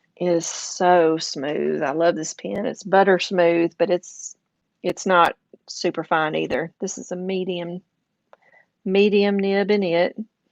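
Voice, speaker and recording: A fairly low-pitched woman at a fairly slow pace, with a slight Southern US accent, fairly even intonation, and a dry, close sound with no echo. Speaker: craft and journaling YouTuber. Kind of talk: casual livestream chat. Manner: casual, with fillers.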